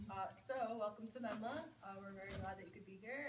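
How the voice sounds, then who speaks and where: Noticeable background noise sits behind this woman's voice. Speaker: retreat center operations manager. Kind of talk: welcome announcements. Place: hall. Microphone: camera far.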